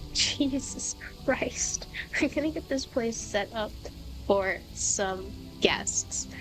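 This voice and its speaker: The speaker goes at a very slow pace with long, frequent pauses. Music plays in the background. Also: woman. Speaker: gaming channel host, grad student in animal behavior. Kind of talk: casual let's play commentary.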